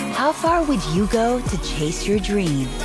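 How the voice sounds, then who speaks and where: A woman at a very slow pace, a dry sound with no echo, clear music in the background. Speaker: voice actor. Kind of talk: TV promo read. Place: booth. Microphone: studio mic.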